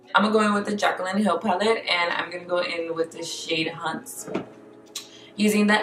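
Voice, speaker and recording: Music can be heard behind the speaker. A woman talks with fairly even intonation. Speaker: beauty YouTuber. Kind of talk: makeup tutorial. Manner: casual, filler-heavy.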